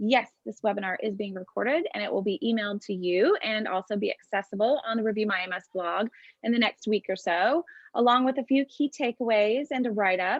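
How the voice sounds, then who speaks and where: A woman puts on a character voice, raspy and fairly high. She talks at a fairly quick pace. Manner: talking fast.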